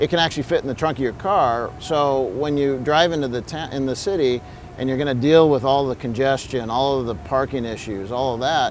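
Fairly quick delivery with hardly any pauses, ordinary pitch variation, dry sound with no echo and light background noise. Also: man. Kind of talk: interview answer. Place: street. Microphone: lapel.

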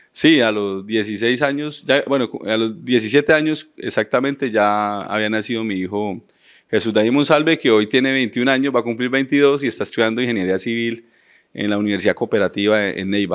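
A man with an unremarkable speaking voice talks at a moderate pace and medium pitch, with ordinary pitch variation, over a quiet background. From Colombia, Florencia, Caquetá; Caquetá, Colombia. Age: 30s. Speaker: mayoral candidate; candidate. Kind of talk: interview. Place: studio. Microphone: handheld.

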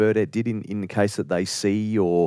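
A man talks at a moderate pace in a very clean recording with a silent background, the sound dry and close with no echo. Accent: Australian. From Australia. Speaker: podcast host. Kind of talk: interview.

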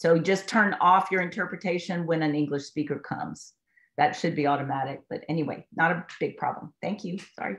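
A woman talks at a fairly quick pace in a normal speaking voice. Her pitch is fairly low, with ordinary variation. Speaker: meeting moderator. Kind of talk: event introduction. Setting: video call.

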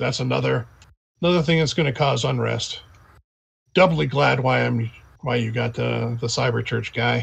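Putting on a raspy character voice, a man speaks at a moderate pace in a medium pitch. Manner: relieved, grateful.

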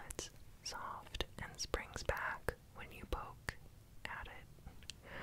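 The speaker whispers at a very slow pace in a relaxed tone. There is noticeable background noise. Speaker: ASMR baking creator. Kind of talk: whispered ASMR cooking voiceover. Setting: home kitchen, close microphone. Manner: whispered, relaxed, soft-spoken.

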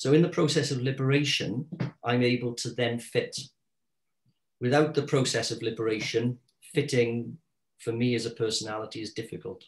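A man with a South Wales accent, medium pitch and a somewhat breathy voice, fairly even intonation, a fairly quick pace and long, frequent pauses. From South Wales, Caerphilly. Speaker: artist and secondary school teacher; secondary school teacher. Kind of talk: interview conversation about his art. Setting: video recording. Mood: reflective, personal. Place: home room. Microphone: video call.

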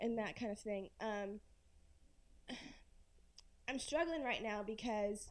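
With a Southern US accent, a woman speaks in a fairly even intonation. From Florence, South Carolina; South Carolina. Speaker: audience member. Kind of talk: audience question. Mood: concerned, earnest. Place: hall.

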